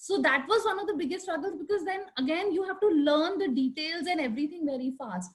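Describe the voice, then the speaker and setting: A woman talks loudly at a fairly quick pace. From India, Delhi. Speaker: architect. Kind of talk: panel discussion. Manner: halting, many fillers.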